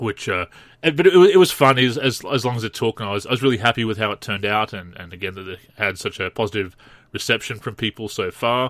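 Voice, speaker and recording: A man with an Australian accent talks at a very fast pace, his medium-pitched voice carrying lively intonation and big swings in loudness. The recording is very clean with a silent background and a dry, close sound with no echo. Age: 30s. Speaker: basketball video game podcast host. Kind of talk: solo podcast commentary. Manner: halting.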